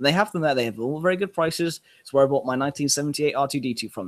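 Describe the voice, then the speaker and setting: The sound of this man with a southern English accent is dry and close, with no echo. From southern England. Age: 20s. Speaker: podcast host. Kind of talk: casual chat.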